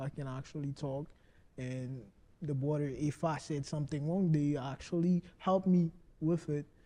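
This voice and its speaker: With a non-native accent, a man speaks at a moderate pace in a fairly high voice of dark, mellow tone, his intonation fairly even. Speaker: lodge member. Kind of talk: interview.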